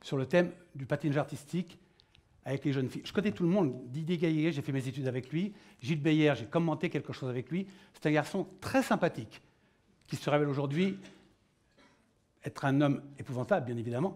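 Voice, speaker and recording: A man talks in a fairly high pitch with a somewhat breathy quality. Long, frequent pauses break up his speech on a very clean recording with a silent background. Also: ordinary pitch variation. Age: 60s. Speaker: panel moderator, former Olympic pole vaulter. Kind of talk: round-table moderation. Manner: animated.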